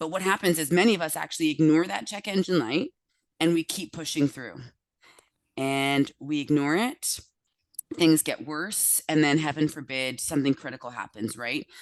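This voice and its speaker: Against a quiet background, a woman with a very deep, low pitch speaks in an animated tone with ordinary pitch variation. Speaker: health practitioner giving a talk. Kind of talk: lecture.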